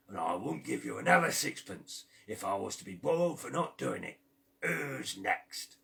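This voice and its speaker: A raspy, put-on character voice from a man, fairly low in pitch, with big swings in loudness. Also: moderate pace. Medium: read story. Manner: sly, haggling.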